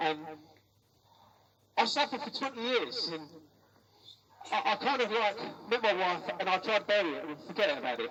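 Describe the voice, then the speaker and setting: A man's raised, projected, high-pitched voice with very wide pitch swings, long, frequent pauses and noticeable background noise. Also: fairly quick pace. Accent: London. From London. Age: 60s. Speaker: care abuse survivor. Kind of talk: protest speech.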